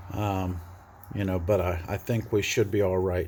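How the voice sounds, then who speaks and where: Somewhat breathy speech at a moderate pace. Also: man. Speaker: DIY bus converter. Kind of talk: casual tutorial vlog. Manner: hesitant with many fillers.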